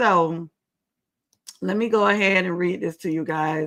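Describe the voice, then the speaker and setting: At a fairly slow pace, a woman speaks with fairly even intonation in a bright, sharp tone. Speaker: talk show host, commentary. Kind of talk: live commentary stream. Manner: casual, chatty.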